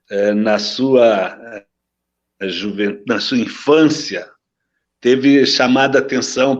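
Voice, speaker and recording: A man talks very slowly at a medium pitch with ordinary pitch variation. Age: 70s. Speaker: former sports ministry official. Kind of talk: interview. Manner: halting.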